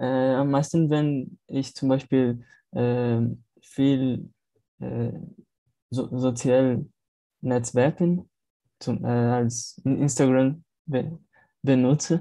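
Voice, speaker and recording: Very slowly and with long, frequent pauses, a man with a Portuguese accent speaks at a medium pitch with fairly even intonation and a dark, mellow tone on a very clean recording with a silent background. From Brazil, Natal. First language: Portuguese (speaking German). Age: 20s. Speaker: film student, language learner. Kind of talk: language practice conversation. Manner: halting.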